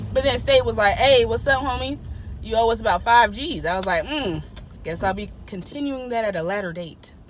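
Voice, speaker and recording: A woman speaks at a fairly quick pace in a fairly high voice. Her tone is animated and her intonation lively. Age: 20s. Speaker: podcast guest, host's sister. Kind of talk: casual chat.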